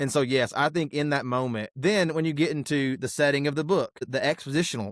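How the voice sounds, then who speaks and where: Recorded with a dry, close sound with no echo and a very clean, silent background, a man speaks with ordinary pitch variation. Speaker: pastor. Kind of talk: casual chat. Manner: fast.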